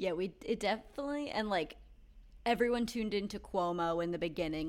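Vocal fry runs through this woman's medium-pitched voice on a very clean recording with a silent background. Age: 30s. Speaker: podcast co-host. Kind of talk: casual chat.

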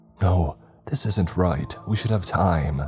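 Over faint music in the background, a man puts on a character voice at a very deep, low pitch. His intonation is lively and his pace fairly slow. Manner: breathless, crying out.

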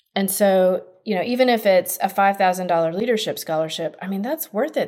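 A woman talks at a moderate pace in an ordinary speaking voice. Her pitch is medium. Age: 40s. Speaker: college financial aid consultant. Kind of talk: casual interview.

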